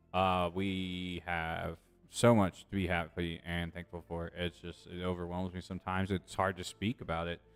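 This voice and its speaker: Over music in the background, a man with a very deep, low pitch speaks at a moderate pace with monotone, flat intonation. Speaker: streamer. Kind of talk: casual chat. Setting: live stream. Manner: halting.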